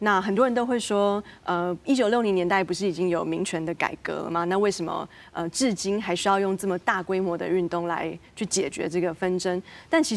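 A woman's ordinary speaking voice at a medium pitch, with a fairly quick pace and ordinary pitch variation. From Taiwan, moved to the US as a teen. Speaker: academic researcher. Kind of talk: panel discussion.

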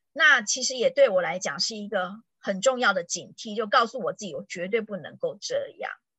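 A woman's fairly high voice with lively intonation and big swings in loudness, at a moderate pace with hardly any pauses. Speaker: tourism board PR professional. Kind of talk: casual chat. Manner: animated.

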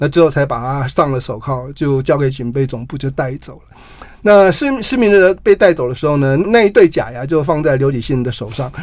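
Using a plain, everyday voice, a man speaks at a fairly quick pace and fairly high pitch, with ordinary pitch variation and big swings in loudness. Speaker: journalist and author. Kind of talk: interview.

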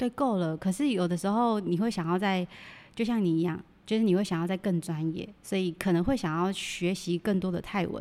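A woman with a dark, mellow, medium-pitched voice speaks at a fairly quick pace on a very clean recording with a silent background. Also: ordinary pitch variation. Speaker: Thai amulet dealer. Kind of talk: casual interview chat.

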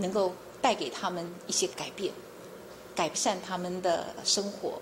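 Over noticeable background noise, a woman speaks softly at medium pitch. Her pace is fairly slow. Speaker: chief prosecutor. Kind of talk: interview. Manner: soft-spoken.

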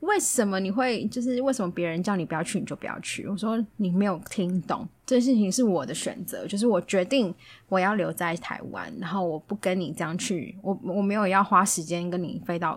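A woman with a plain, everyday voice, medium pitch, a fairly quick pace and ordinary pitch variation on a very clean recording with a silent background. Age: 30s. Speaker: podcast guest sharing dating stories. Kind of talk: casual chat.

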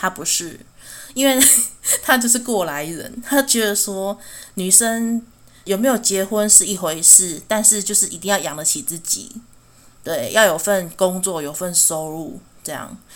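With a Taiwanese accent, a woman at medium pitch speaks at a fairly slow pace with lively intonation, big swings in loudness, and long, frequent pauses. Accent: Taiwanese Mandarin. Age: 30s. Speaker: podcast host. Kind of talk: personal monologue podcast. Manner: halting, frequent stammering.

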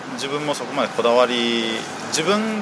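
Pitch swings very widely in this voice, heard over noticeable background noise. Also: man. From Japan (raised from age 9; born in Shanghai). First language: Chinese (speaking Japanese). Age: 30s. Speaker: business owner supporting Chinese product sales. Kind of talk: interview.

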